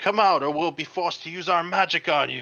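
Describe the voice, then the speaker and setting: Putting on a character voice, a man speaks fairly quickly in a raspy, high pitch. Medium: read story. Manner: blustering.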